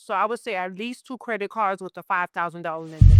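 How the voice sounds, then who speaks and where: A woman with an American accent and ordinary pitch variation, in dry, close sound with no echo and music in the background. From Miami, Florida. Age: 40s. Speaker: credit repair entrepreneur. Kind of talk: interview.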